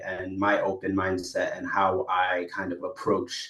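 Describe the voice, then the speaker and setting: At a moderate pace, a man talks with noticeable background noise behind him. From Botswana. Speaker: AI entrepreneur, former community worker. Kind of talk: podcast interview. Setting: podcast recording. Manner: hesitant, many fillers.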